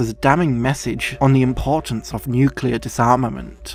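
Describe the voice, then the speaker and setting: Music sounds behind a male speaker. His delivery runs at a moderate speed. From Yorkshire, England. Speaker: film video essayist. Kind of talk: film video essay narration.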